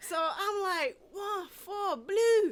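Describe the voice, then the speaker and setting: Speaking with an American accent, a woman projects her raised voice in an animated tone. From Washington DC, later North Carolina. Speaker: podcast host. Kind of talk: casual chat. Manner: animated storytelling.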